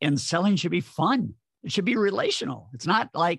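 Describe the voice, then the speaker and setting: A man at a moderate pace with vocal fry, in a dry, close sound with no echo and a very clean recording with a silent background. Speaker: sales trainer and author. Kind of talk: interview conversation.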